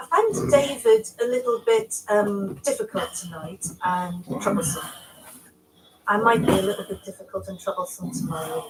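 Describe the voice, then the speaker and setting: Noticeable background noise sits behind a woman's medium-pitched voice. Her loudness swings widely. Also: lively intonation, moderate pace. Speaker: dinner party contestant on reality TV. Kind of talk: casual dinner table chat; to-camera interview. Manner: dramatic, theatrical.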